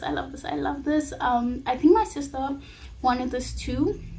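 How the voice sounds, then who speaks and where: Moderate pacing from a woman, set against noticeable background noise. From South Africa. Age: 20s. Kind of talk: casual talk to camera. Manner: upbeat.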